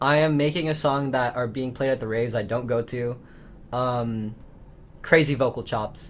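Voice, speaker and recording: A man speaks in an American accent at medium pitch. His pace is moderate and his intonation fairly even. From Los Angeles, US. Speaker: musician. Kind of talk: casual interview. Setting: video call. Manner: casual with many fillers.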